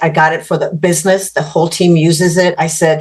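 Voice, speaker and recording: A woman speaks at a fairly low pitch in a monotone, with flat intonation. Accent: Spanish. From Mexico. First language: Spanish. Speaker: business executive. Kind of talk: podcast interview.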